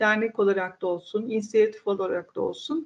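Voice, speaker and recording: This woman's voice sits fairly high in pitch. She talks at a moderate pace. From central Turkey, Ankara Polatlı. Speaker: head of a women's community initiative. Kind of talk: interview. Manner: hesitant, frequent filler sounds.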